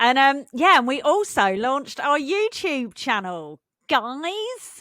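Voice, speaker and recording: The voice is raised and projected, bright and sharp in tone, with an English accent and very wide pitch swings. Delivery is very slow, and the recording is very clean over a silent background. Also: woman, high pitch for a woman. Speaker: podcast co-host. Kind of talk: casual chat.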